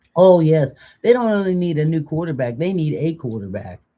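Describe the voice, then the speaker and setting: A woman with a very deep, low pitch speaks at a moderate pace, using lively intonation and a dark, mellow tone. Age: old. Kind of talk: casual live-stream talk.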